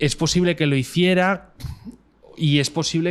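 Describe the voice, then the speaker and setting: A man with a Madrid accent speaks at a moderate pace. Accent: Castilian Spanish (Madrid). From Spain, Madrid. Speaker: cinematographer. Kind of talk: interview conversation. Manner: halting, many fillers.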